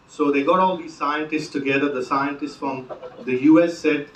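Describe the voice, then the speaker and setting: With an Indian accent, a man talks at fairly high pitch and a moderate pace. Noticeable background noise and audible room echo are present. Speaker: comedian. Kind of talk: stand-up. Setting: stage with audience. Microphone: phone recording from back of room.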